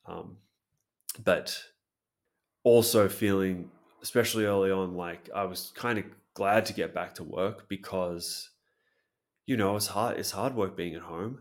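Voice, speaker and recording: Fairly low-pitched and fairly even in intonation, a man speaks at a fairly slow pace with long, frequent pauses. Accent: Australian. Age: 30s. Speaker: English teacher. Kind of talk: casual chat.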